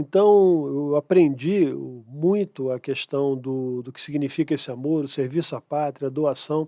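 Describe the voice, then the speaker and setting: With a dark, mellow tone and big swings in loudness, a man talks at a fairly slow pace in a dry, close sound with no echo. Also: fairly high pitch for a man, ordinary pitch variation, very clean recording, silent background. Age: 60s. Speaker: conservative activist and economist. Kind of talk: podcast interview. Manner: halting.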